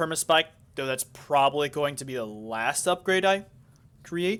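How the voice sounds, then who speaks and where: The recording is very clean and the background silent. A man's moderate pace carries ordinary pitch variation. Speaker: gaming youtuber. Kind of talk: gameplay tutorial commentary. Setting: home recording studio. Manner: loud; halting.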